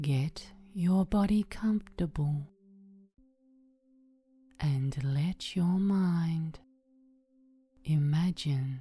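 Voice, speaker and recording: Music plays in the background as a woman speaks very slowly in a fairly low voice. She takes long, frequent pauses, with ordinary pitch variation. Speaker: meditation guide. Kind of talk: sleep story. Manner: calm, soothing.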